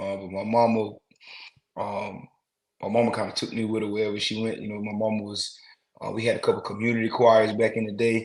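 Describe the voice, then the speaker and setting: Speaking at a fairly quick pace with an American accent, a man with a fairly low pitch keeps a monotone, flat intonation and leaves long, frequent pauses. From US South, rural South Carolina (Rembert). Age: young. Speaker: musician. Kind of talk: interview. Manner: casual, filler-heavy.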